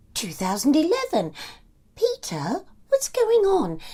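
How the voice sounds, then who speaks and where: Putting on a character voice, a man speaks fairly slowly at an extremely high pitch. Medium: read story. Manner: bright, brisk, homely.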